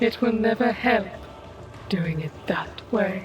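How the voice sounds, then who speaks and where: A woman uses a put-on character voice at a fairly high pitch, with clear background noise behind her. She talks at a fairly slow pace. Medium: audio drama. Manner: calm, knowing.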